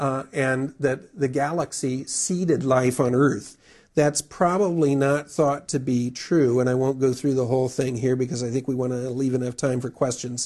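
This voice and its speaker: This man has a plain, everyday voice with an American accent and a medium pitch. He talks at a moderate pace with fairly even intonation. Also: hardly any pauses. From US Midwest, Wisconsin. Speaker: astronomy magazine editor. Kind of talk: public lecture.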